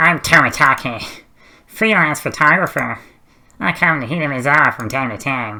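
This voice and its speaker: A man uses a put-on character voice with fairly high pitch, lively intonation and a moderate pace. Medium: solo performance. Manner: easygoing, smooth, flattering.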